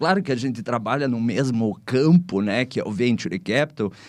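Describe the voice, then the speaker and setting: An unremarkable speaking voice from a man, medium in pitch, with lively intonation, a fairly slow pace and a quiet background. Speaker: podcast host, venture capital investor. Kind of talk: podcast interview.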